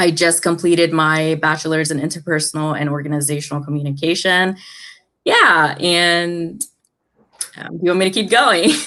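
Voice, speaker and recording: With an American accent, a woman talks at a moderate pace in a bright, sharp tone, her pitch fairly low and her intonation fairly even, over a quiet background. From India, raised in US from age 6. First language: not English (Indian language). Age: 20s. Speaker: mental health speaker and educator. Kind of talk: interview.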